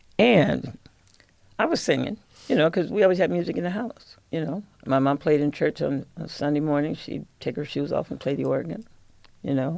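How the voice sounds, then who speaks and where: With a Midwestern US accent, this voice moves at a moderate pace, showing lively intonation and vocal fry. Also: woman, very deep, low pitch for a woman. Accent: US Midwest. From Michigan, Lansing. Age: 70s. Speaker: jazz singer. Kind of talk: casual chat.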